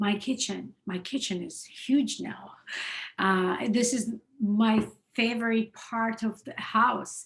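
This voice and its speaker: The delivery is very slow and somewhat breathy, with fairly even intonation. Loudness swings widely. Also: woman, fairly high pitch for a woman. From Russia, Moscow (Georgian family). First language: Russian / Georgian. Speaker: singer-songwriter. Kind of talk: interview.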